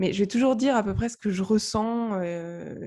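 Against a quiet background, a woman speaks at a moderate pace in a somewhat breathy voice with a dark, mellow tone and ordinary pitch variation. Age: 30s. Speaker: novelist and blogger. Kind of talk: casual interview chat. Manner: halting, many fillers and repetitions.

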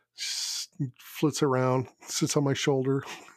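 Monotone, flat intonation from a man at medium pitch. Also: very clean recording, silent background. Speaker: podcast co-host. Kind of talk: casual chat. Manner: halting, many fillers.

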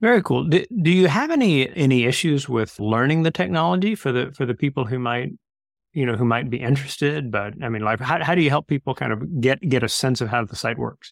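A man's plain, everyday voice at a medium pitch, fairly quick and lively in intonation, with a dry, close sound and no echo. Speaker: club host and interviewer. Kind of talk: interview, club presentation. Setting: online video meeting.

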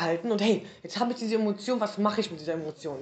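Using a normal speaking voice, a woman talks in a medium pitch with ordinary pitch variation. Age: 40s. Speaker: podcast host. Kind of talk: casual chat.

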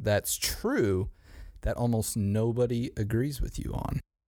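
The recording is very clean and the background silent. His delivery, that of a man, is animated in tone. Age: 20s. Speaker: podcast host. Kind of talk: casual chat.

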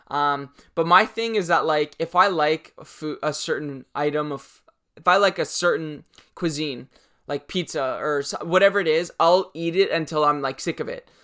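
The speaker has a Canadian accent and keeps a moderate pace in a very clean recording with a silent background. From Canada, Toronto. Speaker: YouTube fashion and sneaker creator. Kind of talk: casual Q&A monologue to camera. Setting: home recording in corner of room. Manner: animated.

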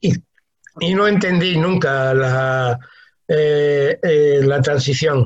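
A man talks very slowly at a fairly high pitch, somewhat breathy, with ordinary pitch variation. His loudness stays very even, and he leaves long, frequent pauses. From Spain, Talavera de la Reina (Toledo). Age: 60s. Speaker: humanitarian worker and writer. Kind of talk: interview.

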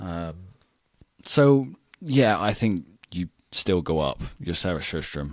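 A man with a British accent speaks at a very deep, low pitch and a fairly slow pace, with very wide pitch swings. The recording is very clean with a silent background. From United Kingdom. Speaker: swimming podcast host. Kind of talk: casual chat.

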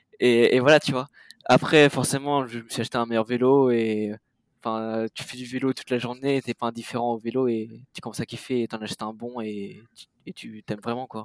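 A man speaks at a fairly quick pace in a flat, monotone delivery, his loudness swinging widely in a dry, close recording with no echo. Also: medium pitch for a man. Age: 20s. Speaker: bicycle courier and dispatcher. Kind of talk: casual interview.

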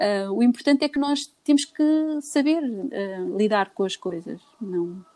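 A woman's dark, mellow voice at a fairly slow pace with lively intonation, dry and close with no echo. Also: quiet background. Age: 40s. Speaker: businesswoman. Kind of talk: casual chat.

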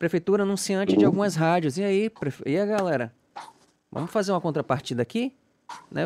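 Recorded very cleanly with a silent background and a dry, close sound with no echo, a man speaks at a high pitch. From Salvador, Bahia, Brazil. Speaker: podcast host. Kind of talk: casual interview chat.

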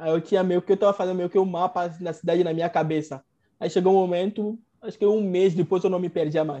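A very fast pace against a quiet background. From Togo (Lomé). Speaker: medical doctor. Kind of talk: interview storytelling. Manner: halting, repeats words.

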